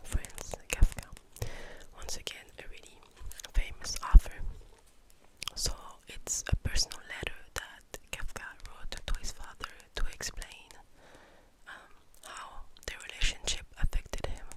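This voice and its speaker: Whispering in a calm tone, a woman leaves long, frequent pauses over noticeable background noise. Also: fairly slow pace, big swings in loudness. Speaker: ASMR creator and book reviewer. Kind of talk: ASMR monthly reading wrap-up, calm talk to camera. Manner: soft-spoken, calm, relaxing.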